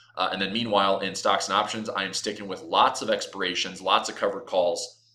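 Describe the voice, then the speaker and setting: A man talks at a very fast pace. Noticeable background noise is present. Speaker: trading educator. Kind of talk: market outlook talk to camera.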